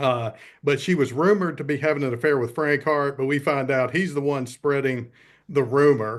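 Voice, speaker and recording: Speaking with a Southern US accent, a man uses a fairly high pitch, fairly even intonation and a moderate pace. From US South. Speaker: film review podcast co-host. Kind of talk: casual chat.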